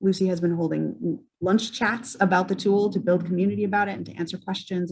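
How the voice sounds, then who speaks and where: Very fast speech with vocal fry. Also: woman. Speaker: ecology outreach presenter. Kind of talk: conference presentation.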